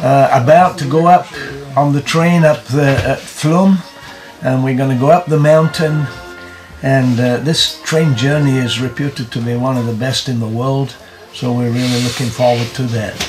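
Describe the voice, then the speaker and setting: A man at a moderate pace with ordinary pitch variation over clear music in the background. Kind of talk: casual vlog chat. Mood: eager, looking forward. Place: train. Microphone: phone near.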